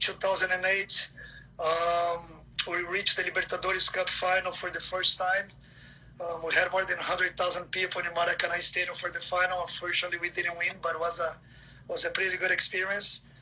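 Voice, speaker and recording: A man with a high voice, fairly quick and monotone with flat intonation, over noticeable background noise. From Brazil. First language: Portuguese. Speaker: football scout. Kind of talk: livestream interview. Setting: Instagram livestream. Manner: many fillers and repeats.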